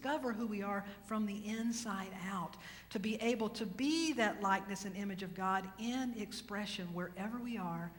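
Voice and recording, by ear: This is reading aloud in a natural voice. The delivery is simply read from a text.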